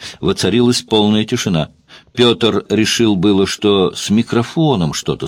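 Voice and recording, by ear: Reading aloud in a natural voice is what the recording holds.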